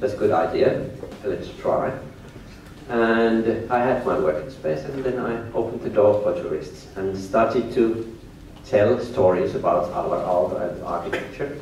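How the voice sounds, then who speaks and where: Noticeable background noise and audible room echo surround this man with a Finnish accent. His medium pitch shows ordinary variation, and he talks at a moderate pace. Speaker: tour guide and business owner. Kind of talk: lecture. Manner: halting.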